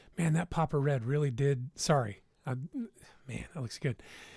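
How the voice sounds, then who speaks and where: With a somewhat breathy quality, this voice shows ordinary variation in pitch. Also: man. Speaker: YouTuber doing a livestream. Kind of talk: casual livestream talk reacting to chat. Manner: fast; halting.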